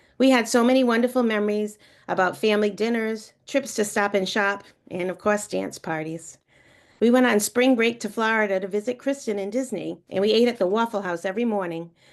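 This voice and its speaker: Here a woman speaks with an New England accent and fairly high pitch. Her pace is fairly quick, with ordinary pitch variation, over a quiet background. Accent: New England, non-rhotic. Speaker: college friend giving a tribute. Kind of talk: eulogy read aloud. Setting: video call.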